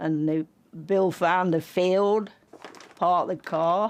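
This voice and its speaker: A woman with an East Midlands accent, fairly low in pitch, fairly slow and fairly even in intonation, over a quiet background. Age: 90s. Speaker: car seller. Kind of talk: casual chat.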